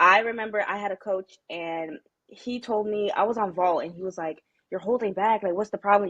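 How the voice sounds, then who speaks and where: The speaker has an American accent and talks at a fairly quick pace. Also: woman. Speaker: college gymnast. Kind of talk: podcast interview. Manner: loud; energetic.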